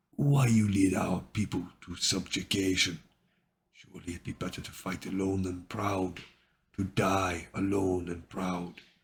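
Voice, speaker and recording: A rumbling, put-on character voice. It moves at a moderate pace. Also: man, very deep, low pitch for a man. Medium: read story. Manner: rumbling, solemn.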